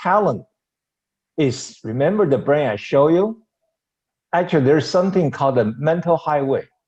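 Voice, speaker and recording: Against a quiet background, a man with a fairly high pitch and a somewhat breathy voice speaks at a fairly quick pace with lively intonation. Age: 70s. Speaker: seminar speaker and semiconductor consultant. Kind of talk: seminar presentation.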